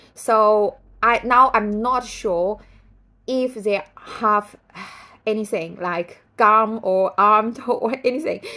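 A woman speaks at a very slow pace with a Chinese accent and a bright, sharp tone. Her pitch varies in an ordinary way against a quiet background. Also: fairly high pitch for a woman. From China. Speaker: writer and vlogger. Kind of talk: casual vlog commentary. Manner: halting, many fillers. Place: home room. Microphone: phone near.

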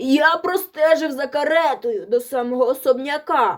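At a moderate pace, a woman talks in a high, put-on character voice. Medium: read story. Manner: fawning, ingratiating.

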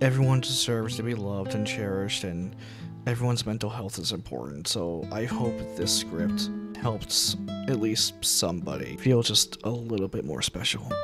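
With music playing in the background, a man talks at a moderate pace. His intonation is lively. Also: fairly low pitch for a man. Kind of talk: casual talk to listeners.

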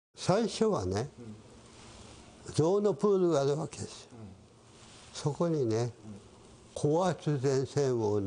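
A man at a very slow pace, dark, mellow tone and very wide pitch swings. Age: 80s+. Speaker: witness of wartime zoo animal killings. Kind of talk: interview answer. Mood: somber reminiscing. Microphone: lapel.

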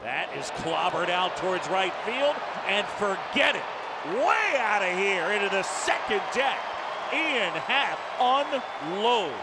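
The speech goes at a very slow pace under loud background noise. The sound is dry, with no echo. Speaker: play-by-play announcer. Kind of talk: live baseball commentary. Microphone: headset.

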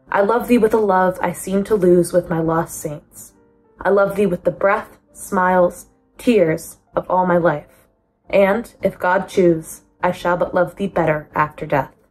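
Over music in the background, a woman talks at a fairly slow pace with fairly even intonation. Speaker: student. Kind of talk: poetry reading. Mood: calm, gentle. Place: home room. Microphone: phone near.

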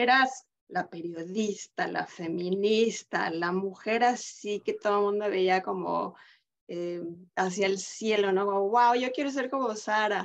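A woman speaks at a very slow pace. Behind her, the background is quiet. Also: medium pitch for a woman, ordinary pitch variation. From Mexico. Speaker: podcast host. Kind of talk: interview. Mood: warm, admiring. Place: home room. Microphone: video call.

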